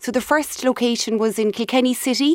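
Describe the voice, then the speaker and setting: A woman with a strong Cork accent, at a moderate pace and with fairly even intonation. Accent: Cork Irish, strong. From Cork, Ireland. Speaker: company CEO. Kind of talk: radio interview, business chat.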